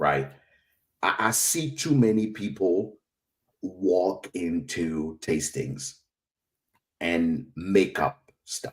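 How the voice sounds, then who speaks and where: A man with an African accent speaks at a very slow pace in a very deep, low voice. His pitch swings very widely, broken by long, frequent pauses. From West Africa. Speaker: whiskey educator. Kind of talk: interview.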